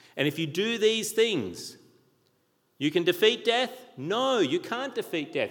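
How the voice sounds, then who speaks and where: This very clean recording has a silent background. A man with an Australian accent speaks at a fairly slow pace. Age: 40s. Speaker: pastor. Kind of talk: sermon. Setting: church.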